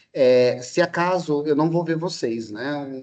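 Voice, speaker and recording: An ordinary speaking voice, a man's, fairly high in pitch with ordinary pitch variation. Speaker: history and sociology teacher, lecturer. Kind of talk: online lecture to students.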